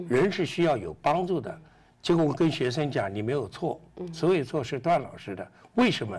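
A man with a fairly high pitch and vocal fry talks at a moderate pace, his pitch swinging very widely. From China, Yunnan. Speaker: interviewee. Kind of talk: interview. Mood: earnest, reflective. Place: studio. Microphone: lapel.

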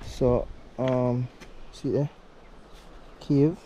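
Pitched in the medium range for a man, his voice has a dark, mellow tone.

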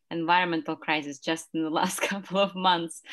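In a normal speaking voice, a woman talks at a moderate pace with a fairly low pitch and ordinary pitch variation against a quiet background. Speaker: seminar participant. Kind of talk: academic seminar discussion. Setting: video call. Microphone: video call.

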